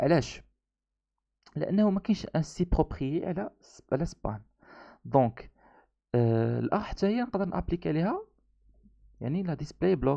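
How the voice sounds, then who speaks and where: At a very slow pace, with long, frequent pauses, a man speaks in a Moroccan accent with lively intonation and a fairly high pitch. His tone is dark and mellow, and the background is quiet. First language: Moroccan Arabic (speaking French). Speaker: programming instructor. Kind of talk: tutorial. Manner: halting.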